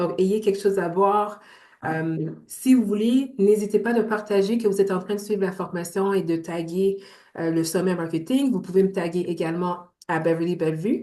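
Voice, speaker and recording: A woman speaks in a Montreal accent with a dark, mellow tone. Her pitch is medium, with ordinary variation. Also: moderate pace. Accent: Montreal Quebec French. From Montreal, Quebec. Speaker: entrepreneur and business coach. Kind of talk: online workshop presentation.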